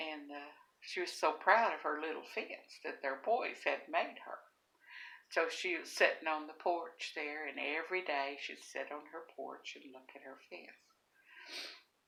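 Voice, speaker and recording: A woman with a Southern US accent speaks fairly slowly in a very deep, low voice with a bright, sharp tone and ordinary pitch variation. Her loudness swings widely, and room echo is audible. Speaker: storyteller. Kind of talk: casual storytelling.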